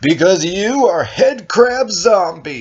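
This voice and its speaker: A put-on character voice delivered at a very slow pace, with very wide swings in pitch. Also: man. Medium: read story. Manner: solemn, melodramatic heroics.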